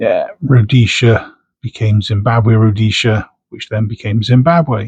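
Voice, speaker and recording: A man with a Bristol accent speaks at a fairly slow pace. His voice is somewhat breathy, with fairly even intonation. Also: medium pitch for a man. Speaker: coin collector. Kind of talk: casual unboxing commentary. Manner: casual, chatty.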